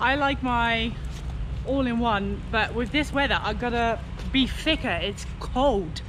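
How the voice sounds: Over clear background noise, a woman talks at a fairly slow pace with a fairly high pitch. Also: ordinary pitch variation.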